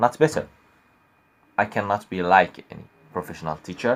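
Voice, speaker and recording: A man speaks with an Arabic accent. His pitch is very deep and low, with ordinary variation. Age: young. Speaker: YouTuber teaching Arabic. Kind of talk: casual vlog talk to viewers. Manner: halting, hesitant.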